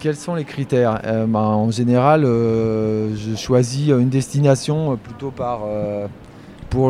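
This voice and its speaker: With noticeable background noise behind him, a man speaks fairly slowly at a medium pitch, with ordinary pitch variation. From France, Poitou (rural). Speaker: wildlife photographer. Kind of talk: interview by schoolchildren. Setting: photography festival.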